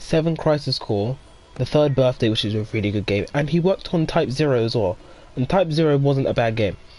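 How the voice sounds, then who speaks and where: Noticeable background noise runs under the recording. A man with a fairly high voice talks at a moderate pace with lively intonation. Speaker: gaming streamer. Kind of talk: casual chat. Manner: loud.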